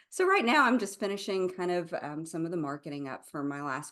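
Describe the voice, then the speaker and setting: Noticeable background noise is present throughout. The delivery keeps a moderate pace. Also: woman. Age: 30s. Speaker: author and speaker. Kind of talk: podcast interview. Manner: halting, many fillers.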